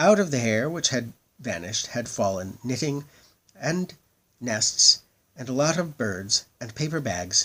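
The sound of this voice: Lively intonation in an unforced reading voice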